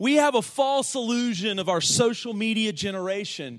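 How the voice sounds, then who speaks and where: Over a quiet background, a man with an American accent and a high pitch talks at a moderate pace in an animated tone with lively intonation. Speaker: pastor. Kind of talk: sermon. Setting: church.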